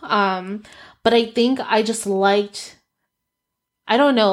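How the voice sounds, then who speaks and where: An unremarkable speaking voice from a woman, fairly high in pitch, fairly slow, with ordinary pitch variation, on a very clean recording with a silent background. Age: 30s. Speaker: podcast host and coach. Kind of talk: casual solo podcast monologue, personal storytelling. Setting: home office studio with ring light and camera. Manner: conversational, with frequent laughs.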